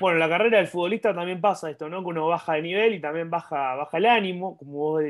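A man with a high pitch at a very fast pace against a quiet background. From Argentina. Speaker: sports channel interviewer. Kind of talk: interview. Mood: friendly, upbeat. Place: home room. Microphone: earbuds.

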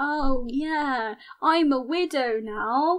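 This woman adopts a put-on character voice pitched high. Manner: mocking, feigned grief.

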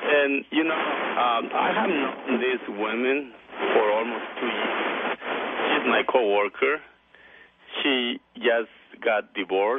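At a very slow pace, a man speaks with a medium pitch and ordinary pitch variation over noticeable background noise. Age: 40s. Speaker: caller. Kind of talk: call-in radio conversation. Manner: halting.

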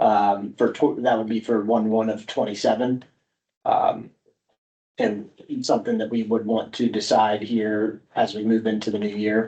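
A man speaks at a medium pitch and a moderate pace. His tone is dark and mellow, his intonation flat and monotone. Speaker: benefits consultant. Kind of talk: public meeting presentation. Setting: township board meeting. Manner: loud.

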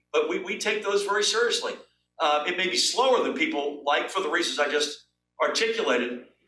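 With music in the background, a man speaks at a fairly quick pace. His voice is raised and projected, and the room echoes audibly. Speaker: guest. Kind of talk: interview answer. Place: office.

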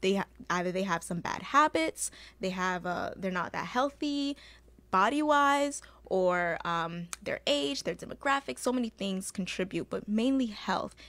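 A woman of medium pitch at a moderate pace, with lively intonation. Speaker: insurance agent and co-host. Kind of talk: casual educational chat. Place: studio. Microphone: studio mic.

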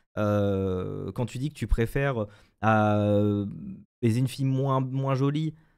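Speaking at a very slow pace with long, frequent pauses, a man uses ordinary pitch variation over a quiet background. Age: 20s. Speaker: streamer guest; guest. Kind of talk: casual live-stream chat. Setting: video call via webcam. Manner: hesitant, many fillers and repetitions. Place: home room. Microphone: studio mic.

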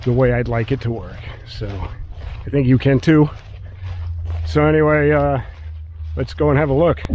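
A man speaks at a moderate pace with lively intonation. The sound is dry, with no echo. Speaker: drone hobbyist vlogger. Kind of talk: casual vlog chat. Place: open country. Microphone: phone near.

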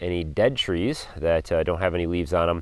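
A man's very deep, low voice at a moderate pace, dry with no echo. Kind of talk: tutorial. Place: forest. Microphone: phone near.

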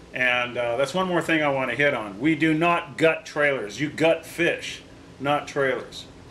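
Through noticeable background noise, a man speaks fairly slowly at a fairly high pitch with ordinary pitch variation. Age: 60s. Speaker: vintage trailer restorer and video host. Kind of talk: tutorial. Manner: casual, halting with fillers.

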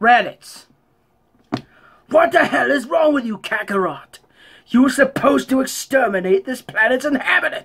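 A put-on character voice with a high pitch moves at a moderate pace, broken by long, frequent pauses. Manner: angry.

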